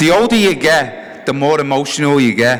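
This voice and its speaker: A man with an English accent talks at a moderate pace with fairly high pitch. His intonation is lively, and noticeable background noise is present. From England. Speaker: hall of fame inductee, former runner. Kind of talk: acceptance speech. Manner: halting.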